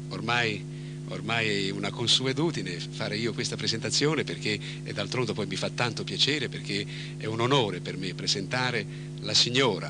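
Over noticeable background noise, a man speaks at a moderate pace in a dry sound with no echo. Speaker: singer and TV host. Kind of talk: TV show host introduction. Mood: warm, courteous. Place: studio. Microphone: handheld.

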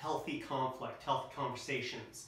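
A man speaking in a room with audible echo, light noise behind him. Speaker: presenter or coach. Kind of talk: lecture. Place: home room. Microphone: camera far.

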